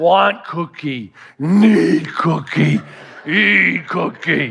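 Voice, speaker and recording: A man's put-on character voice, raspy and fairly high-pitched, at a very slow pace. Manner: simple, blunt.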